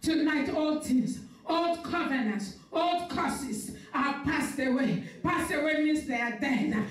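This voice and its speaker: A woman with a high-pitched voice speaks at a fairly slow pace with ordinary pitch variation. Room echo is audible. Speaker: pastor. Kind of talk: sermon and fervent prayer. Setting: live stream church service. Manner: fervent, forceful, declaring prayer with rising intensity. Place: church.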